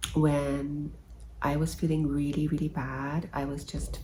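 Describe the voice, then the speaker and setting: A soft-spoken woman talks at a very slow pace. Room echo is audible. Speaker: health vlogger. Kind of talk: casual vlog. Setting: at her mom's living room. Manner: hesitant. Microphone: no microphone.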